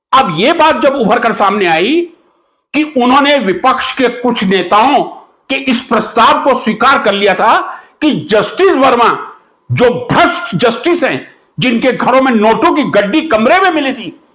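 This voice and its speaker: A man speaks at an extremely high pitch with lively intonation. The room echo is audible. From India. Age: 60s. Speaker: chemistry teacher and political commentator. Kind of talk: political monologue. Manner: animated.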